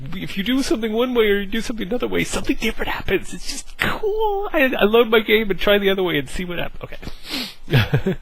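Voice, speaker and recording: A man talks at a very fast pace in a room with audible echo and noticeable background noise. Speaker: gaming video creator. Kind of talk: casual gameplay preview talk. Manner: animated, hesitant with fillers.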